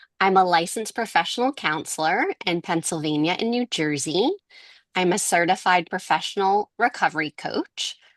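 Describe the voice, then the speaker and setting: Against a quiet background with a dry, close sound and no echo, a woman speaks in a Boston accent at a medium pitch and moderate pace, her intonation lively. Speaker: podcast co-host, counselor. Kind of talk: podcast introduction. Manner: quieter than usual.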